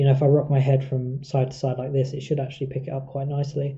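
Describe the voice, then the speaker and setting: A man's fairly high, somewhat breathy voice in a southern English accent, monotone and flat, with audible room echo. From southern England. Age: 30s. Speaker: live streamer. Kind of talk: casual chat. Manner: halting.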